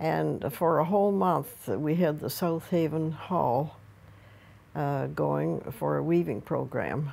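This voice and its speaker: A very slow pace in a Nova Scotian accent. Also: woman. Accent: Nova Scotian (Maritime Canadian). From Nova Scotia, Canada. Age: 80s+. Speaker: craft teacher, weaver. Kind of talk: oral history interview. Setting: at home.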